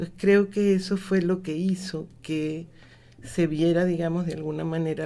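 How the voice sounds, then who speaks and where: A woman speaks fairly slowly at a fairly low pitch. Her tone is dark and mellow, her intonation fairly even. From Mexico and Venezuela (25 years, from school age). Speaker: cultural management expert, lecturer. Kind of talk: radio interview.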